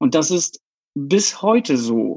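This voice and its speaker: Very wide pitch swings in a Polish accent. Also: man. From southern Poland. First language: Polish (speaking German). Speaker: LGBTQ activist. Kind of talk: interview.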